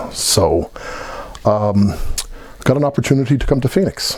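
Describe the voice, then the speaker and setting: With an American accent, a man talks while noticeable background noise carries on. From Ireland, Dublin. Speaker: Irish emigrant telling his story. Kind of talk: personal testimony. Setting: heritage event.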